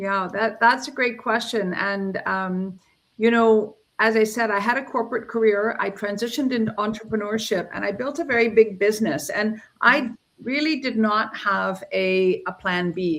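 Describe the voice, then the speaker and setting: This woman has an unremarkable speaking voice, fairly high in pitch with ordinary variation. Her pace is moderate. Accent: Canadian. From Canada, Ontario. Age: 60s. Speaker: entrepreneur. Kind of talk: interview. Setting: livestream.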